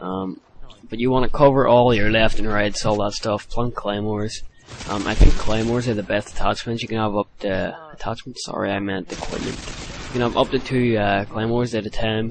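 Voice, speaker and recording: Noticeable background noise sits behind a man talking at a fairly quick pace, with medium pitch and fairly even intonation. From Ireland. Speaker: gaming commentator. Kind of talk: gameplay commentary tutorial. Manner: hesitant, many fillers.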